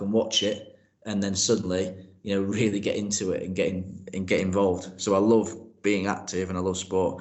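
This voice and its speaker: With audible room echo, a man talks at a moderate pace in a fairly low, flat monotone. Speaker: PE teacher and progress leader. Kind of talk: interview. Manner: loud.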